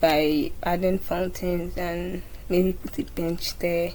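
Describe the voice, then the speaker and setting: A woman's fairly low voice with audible room echo. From Nigeria. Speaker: gaming YouTuber. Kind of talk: gameplay commentary. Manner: casual, halting with repeated words.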